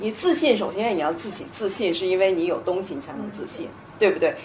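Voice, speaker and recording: Over noticeable background noise and audible room echo, a woman speaks at a medium pitch with lively intonation. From China. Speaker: panel speaker, sales professional. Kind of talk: panel talk at a public lecture.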